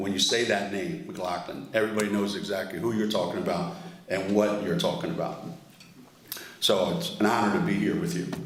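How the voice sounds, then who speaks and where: Fairly quick speech from a man at fairly low pitch, with very wide pitch swings, audible room echo and noticeable background noise. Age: 70s. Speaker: award honoree speaker. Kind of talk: award dinner speech.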